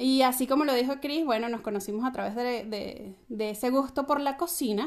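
A woman with a high-pitched voice and ordinary pitch variation is heard on a very clean recording with a silent background. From Venezuela. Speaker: co-host, home cook. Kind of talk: casual chat.

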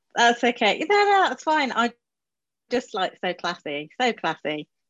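Speaking fairly slowly, a woman uses a fairly high, fairly bright voice with very wide pitch swings.

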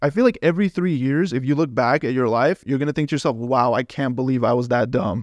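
A man with an ordinary speaking voice and an American accent, fairly high-pitched, at a fairly quick pace with ordinary pitch variation, in a dry, close sound with no echo over a quiet background. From Los Angeles. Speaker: veterinary student. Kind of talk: casual chat.

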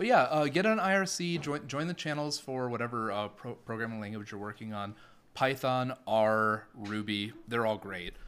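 A man speaks in a plain, everyday voice at a medium pitch with lively intonation and a moderate pace. The recording is very clean, with a silent background. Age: 30s. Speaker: cloud automation engineer. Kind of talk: casual chat. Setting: in person, same room.

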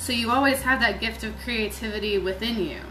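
Amid noticeable background noise and audible room echo, a woman talks at a moderate pace with a fairly high pitch and fairly even intonation. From Virginia, US. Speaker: poet and spiritual artist. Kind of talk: casual interview chat.

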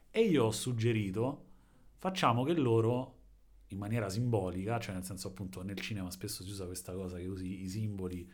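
Somewhat breathy and fairly low-pitched, a man speaks at a fairly quick pace with ordinary pitch variation and big swings in loudness, in audible room echo. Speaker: podcast co-host. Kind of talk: casual chat. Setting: home in an apartment building.

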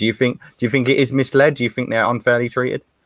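A man with a southern English accent comes through a very clean recording with a silent background and a dry, close sound with no echo. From Stevenage, Hertfordshire, England. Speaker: football podcast host. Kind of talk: casual panel discussion.

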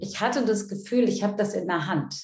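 Audible room echo surrounds a woman who speaks at a fairly quick pace, her medium pitch following fairly even intonation. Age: 50s. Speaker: coach and seminar leader. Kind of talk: interview.

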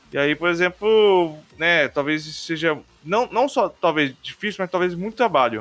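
A man with a high voice and lively intonation at a fairly slow pace. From Brazil, Rondônia. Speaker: podcast host. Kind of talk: casual chat.

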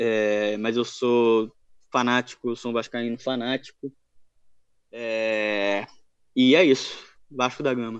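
A man at a medium pitch, very slow in pace, with monotone, flat intonation and long, frequent pauses. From Rio de Janeiro, Brazil. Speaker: football fan page admin. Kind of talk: casual chat.

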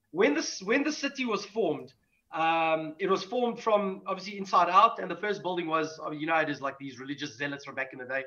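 Raised and projected, a man's high-pitched voice has a bright, sharp tone and very wide pitch swings. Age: 40s. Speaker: metal band musician. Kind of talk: casual chat.

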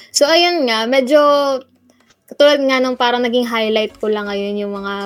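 The woman's voice sits fairly high and rises and falls in a normal way as she talks at a moderate speed. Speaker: student radio host. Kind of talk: casual chat. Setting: remote call from home. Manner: animated.

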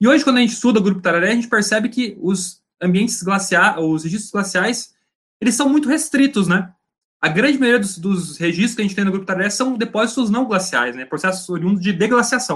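This voice moves at a fairly quick pace with lively intonation. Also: man, high pitch for a man. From Paraná, Brazil (Laranjeiras do Sul). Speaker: geology master's student. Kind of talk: casual interview chat.

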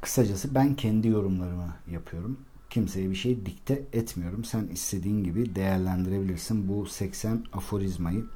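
With audible room echo, a man speaks at a moderate pace in a fairly low, somewhat breathy voice of dark, mellow tone, showing ordinary pitch variation and hardly any pauses. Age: 40s. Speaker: life coach and podcaster. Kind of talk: solo monologue podcast.

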